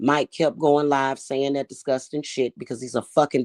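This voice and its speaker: In a dry, close sound with no echo and a quiet background, a woman speaks at a very deep, low pitch. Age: 40s. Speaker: livestreamer. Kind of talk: livestream rant. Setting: livestream. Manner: heated.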